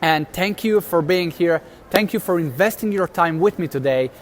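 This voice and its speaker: A man with a non-native accent talks at a fairly quick pace, his pitch fairly high. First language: not English. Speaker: motivational video host. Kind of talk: motivational talk, live stream. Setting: live stream. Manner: casual, halting.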